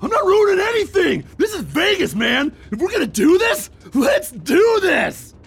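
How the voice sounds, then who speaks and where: A man shouting at a moderate pace, his pitch extremely high. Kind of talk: comic overacting. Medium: audio drama. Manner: manic, shouting, comic overacting.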